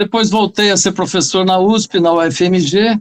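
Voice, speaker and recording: A man talks at a high pitch and a moderate pace. His intonation stays fairly even. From Brazil, São Paulo state interior. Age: 70s. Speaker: retired geology professor and author. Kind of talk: interview.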